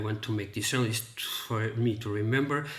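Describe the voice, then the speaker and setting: A man of medium pitch speaks in a flat monotone, somewhat breathy. Audible room echo surrounds his voice. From Portugal. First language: Portuguese. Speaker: book reviewer. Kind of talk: casual monologue to camera. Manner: halting, many fillers and repetitions.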